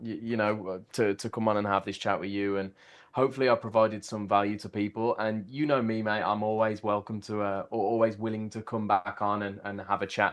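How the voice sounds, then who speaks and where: In a Birmingham accent, a man talks at a fairly quick pace in a fairly low voice with monotone, flat intonation. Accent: Brummie. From Birmingham, England. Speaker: systematic trader. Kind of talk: casual interview chat. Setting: livestream. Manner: fast.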